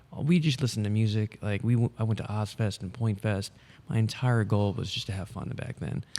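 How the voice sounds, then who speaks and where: Speaking at a fairly quick pace with a St. Louis accent, a man with a fairly low pitch has a dark, mellow tone and ordinary pitch variation. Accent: St. Louis Midwestern American. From US Midwest, St. Louis area (Jefferson County, Missouri). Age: 40s. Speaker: political candidate. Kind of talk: casual interview.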